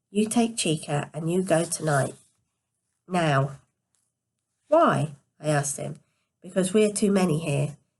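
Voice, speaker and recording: Quietly and somewhat breathily, a woman with a fairly low pitch talks with long, frequent pauses. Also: ordinary pitch variation, fairly slow pace. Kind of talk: read story.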